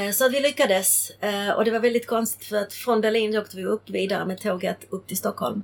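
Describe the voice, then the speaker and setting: This woman has a Czech accent and a fairly high pitch. She speaks at a fairly quick pace with fairly even intonation. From Czechoslovakia, then Sweden from age ten. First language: Czech (speaking Swedish). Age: 50s. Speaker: interviewee sharing life story. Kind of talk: casual interview, life story. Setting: on a boat in a marina.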